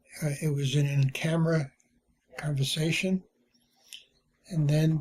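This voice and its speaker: A man talks at a fairly high pitch in a somewhat breathy voice. His intonation is monotone and flat. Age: 80s+. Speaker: retired journalist and publisher. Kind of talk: personal testimony. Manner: halting, with many fillers.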